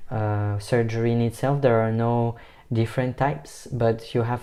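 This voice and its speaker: A man speaks with a non-native accent at a medium pitch. His tone is dark and mellow. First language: not English. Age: 20s. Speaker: vlogger. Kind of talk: personal vlog.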